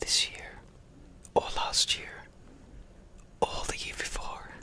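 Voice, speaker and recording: Noticeable background noise sits behind a man who is whispering. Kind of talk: ASMR casual talk. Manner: whispered.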